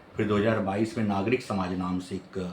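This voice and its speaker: A man against noticeable background noise. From Chhattisgarh, India (Bhilai). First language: Odia (speaking Hindi). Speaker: professor and poet. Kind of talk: interview monologue. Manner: hesitant with fillers.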